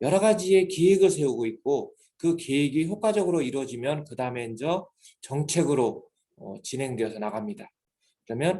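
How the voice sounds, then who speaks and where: Here a man has a fairly high pitch and a dark, mellow tone. His intonation is lively and his pace moderate. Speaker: graduate school professor. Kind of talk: lecture. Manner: formal.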